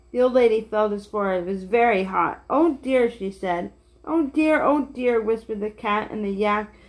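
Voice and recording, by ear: A natural voice reads a passage aloud.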